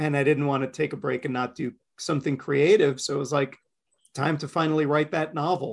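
A man's fairly high voice with an American accent, at a fairly quick pace. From Queens, New York. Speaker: comics creator. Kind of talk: casual chat, podcast interview. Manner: animated, talkative.

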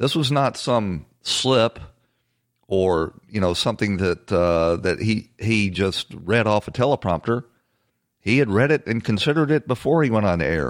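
A man with a normal speaking voice talks at a moderate pace in a fairly low pitch, his intonation lively and his loudness very even, on a very clean recording with a silent background and a dry, close sound with no echo. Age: 60s. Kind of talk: political commentary monologue.

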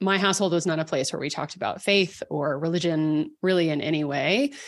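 Here is a normal speaking voice from a woman with an American accent, at a fairly quick pace. Her pitch is fairly low with ordinary variation, and the background is quiet. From Texas, Dallas. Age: 40s. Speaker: writer and podcaster. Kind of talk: interview conversation.

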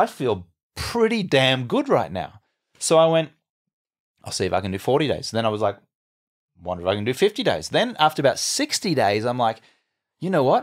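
With an Australian accent, a man speaks at a medium pitch in an animated tone, his pitch swinging very widely, at a fairly quick pace broken by long, frequent pauses. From Australia, Brisbane. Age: 40s. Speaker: entrepreneur and former sports TV anchor. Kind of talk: interview conversation.

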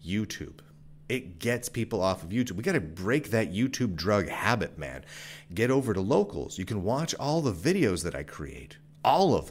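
A man with a fairly low pitch and vocal fry speaks at a moderate pace in an animated tone with very wide pitch swings, recorded very cleanly against a silent background. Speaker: podcaster and tech commentator. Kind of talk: sales pitch. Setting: video and audio show. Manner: animated, pushy pitchman.

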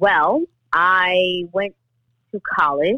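A woman with a New York accent speaks at a fairly low pitch with ordinary pitch variation. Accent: New York City. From US Northeast, New York City (the Bronx). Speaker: actress and domestic violence activist. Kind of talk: interview.

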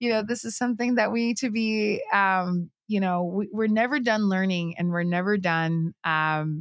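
At a fairly slow pace, a woman speaks at a medium pitch with ordinary pitch variation, on a very clean recording with a silent background. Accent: Puerto Rican. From Puerto Rico. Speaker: filmmaker. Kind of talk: interview.

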